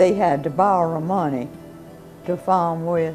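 The speaker talks at a very slow pace with ordinary pitch variation while clear music plays in the background. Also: woman. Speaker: interviewee. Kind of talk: interview answer. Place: home room.

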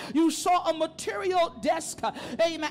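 Over music in the background, a woman speaks at an extremely high pitch. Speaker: preacher. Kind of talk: sermon delivered to a congregation. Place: church. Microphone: handheld.

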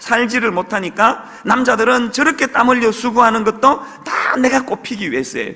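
At a moderate pace, a man uses a raised, projected voice with ordinary pitch variation. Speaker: pastor. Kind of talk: sermon. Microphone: podium.

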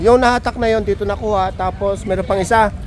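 The pace is fairly quick, with noticeable background noise behind the voice. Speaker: vlogger. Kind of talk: on-location narration. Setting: outdoors. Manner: hesitant, many fillers.

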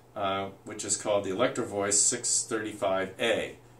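A man speaks at a fairly slow pace in a fairly low pitch. Audible room echo and light background noise are present. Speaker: presenter. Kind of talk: tutorial. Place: home room.

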